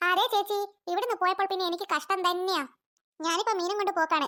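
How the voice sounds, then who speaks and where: A female-sounding voice is squeaky and extremely high. It is a cartoonish character voice at a moderate pace. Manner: loud, cheerful, familiar.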